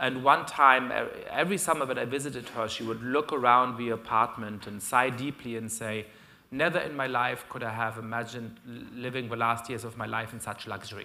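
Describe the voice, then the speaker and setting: Speaking at a fairly quick pace in a German accent, the voice has a bright, sharp tone and fairly even intonation with big swings in loudness. Room echo is audible. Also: man, medium pitch for a man. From Germany. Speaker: professor. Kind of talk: lecture. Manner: frequent fillers and hesitations.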